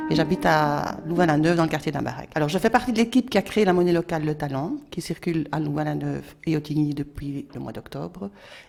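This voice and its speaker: In a very deep, low voice, a woman races along at a very fast pace with lively intonation and hardly any pauses. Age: 60s. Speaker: local currency activist. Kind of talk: prepared presentation.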